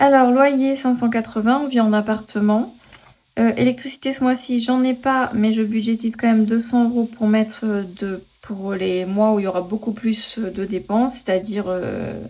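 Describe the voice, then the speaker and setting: Her voice fairly high, a woman speaks at a fairly slow pace with fairly even intonation. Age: 40s. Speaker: personal finance vlogger. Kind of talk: casual budgeting tutorial. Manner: hesitant, many fillers.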